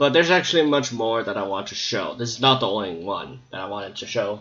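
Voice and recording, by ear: Speaking fairly quickly with lively intonation, a man with a fairly low pitch and a fairly bright tone is heard against audible room echo.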